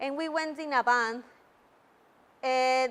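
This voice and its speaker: Speaking very slowly with a Mexican accent, a woman keeps a high pitch and fairly even intonation. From Mexico. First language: Spanish. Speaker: Toastmasters club member. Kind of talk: public speech. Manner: halting.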